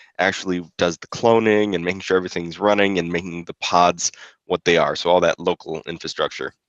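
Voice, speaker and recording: Speaking quietly, the voice proceeds at a fairly quick pace. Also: man. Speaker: competition organizer. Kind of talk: awards ceremony speech. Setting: live stream. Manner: hesitant, many fillers.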